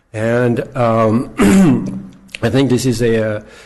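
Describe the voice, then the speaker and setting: Speech comes at a fairly slow pace. Audible room echo and noticeable background noise are present. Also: man. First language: not English. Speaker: gardener speaking at public comment. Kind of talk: public comment at city council. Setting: city council chamber. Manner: halting, many fillers.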